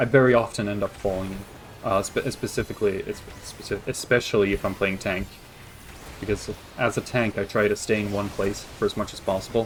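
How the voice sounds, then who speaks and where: A man speaks in a monotone, flat intonation over noticeable background noise. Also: fairly low pitch for a man, fairly quick pace. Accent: American. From Sweden. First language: Swedish. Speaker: video game streamer. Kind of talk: casual gameplay commentary. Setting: live stream. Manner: hesitant, many fillers and restarts.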